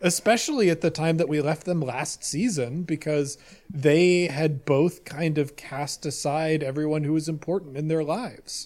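A man with an ordinary speaking voice, fairly high in pitch with ordinary pitch variation, at a moderate pace with hardly any pauses. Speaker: roleplay podcaster. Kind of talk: casual chat.

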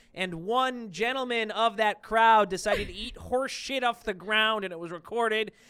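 Bright and sharp in tone, an American accent comes through a raised, projected voice with hardly any pauses. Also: man, high pitch for a man, ordinary pitch variation, moderate pace. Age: 30s. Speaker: sports podcast co-host. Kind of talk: casual chat.

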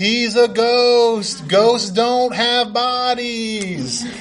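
The pace is very slow. A man uses a put-on character voice pitched extremely high. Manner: spooky, ghostly.

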